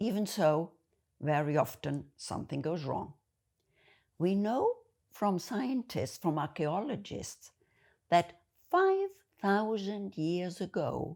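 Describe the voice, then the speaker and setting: In a German accent, a woman speaks at a very slow pace with long, frequent pauses. The recording is very clean, with a silent background. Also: medium pitch for a woman, lively intonation. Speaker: video essayist. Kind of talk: monologue to camera.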